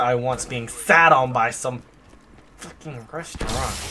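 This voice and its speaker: Noticeable background noise behind a man talking. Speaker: gaming streamer. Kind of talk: live gameplay commentary. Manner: fast; animated.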